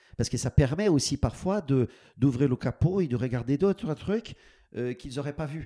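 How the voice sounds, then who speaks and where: A man's fairly high-pitched voice with a dark, mellow tone at a moderate pace, dry and close with no echo, on a very clean recording, silent background. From Brazil. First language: Portuguese (speaking French). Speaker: business school dean. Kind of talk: podcast interview. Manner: halting, many repetitions and fillers.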